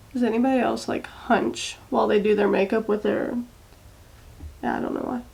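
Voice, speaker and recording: A woman with an American accent talks at a fairly quick pace but with long, frequent pauses, and noticeable background noise is present. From Maryland and Texas, US. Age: 20s. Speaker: beauty vlogger. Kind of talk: makeup tutorial chat. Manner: casual, chatty.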